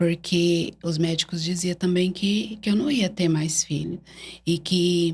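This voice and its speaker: A woman's somewhat breathy voice at medium pitch, fairly slow in pace and fairly even in intonation. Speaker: church evangelist. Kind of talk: interview testimony. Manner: halting.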